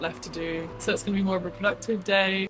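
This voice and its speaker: A woman talks at a very fast pace in a southern English accent. Noticeable background noise is present. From England, near London. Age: 20s. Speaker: lifestyle vlogger. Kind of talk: casual vlog voice-over.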